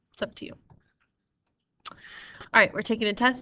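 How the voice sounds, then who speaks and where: In a bright, sharp tone and fairly even intonation, a woman speaks against a quiet background. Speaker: math teacher. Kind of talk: tutorial. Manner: casual, conversational.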